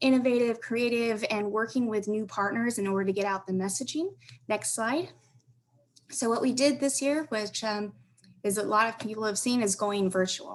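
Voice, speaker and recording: A woman speaks at a moderate pace in a fairly high voice with ordinary pitch variation. It is a normal speaking voice. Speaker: transit agency corporate partnerships manager. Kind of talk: conference panel presentation.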